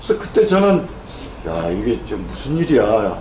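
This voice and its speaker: Noticeable background noise fills the recording. A man talks with audible room echo around him. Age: 70s. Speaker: neurosurgeon and Korean medicine doctor lecturer. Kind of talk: lecture. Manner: casual, conversational with fillers.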